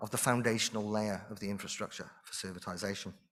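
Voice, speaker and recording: Here a man speaks with a Welsh accent. He goes at a very fast pace. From Wales. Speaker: conference speaker, industry researcher. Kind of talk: conference presentation. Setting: stage with audience.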